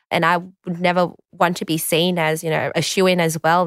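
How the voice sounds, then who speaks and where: Speaking with an Australian accent, a woman keeps a fairly quick pace. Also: dry, close sound with no echo, very clean recording, silent background. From Australia, southwest Sydney. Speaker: solicitor and political candidate. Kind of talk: interview. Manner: halting.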